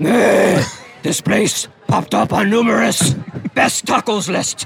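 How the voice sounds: A man does a put-on character voice, growling at a high pitch and a very slow pace. Music plays in the background.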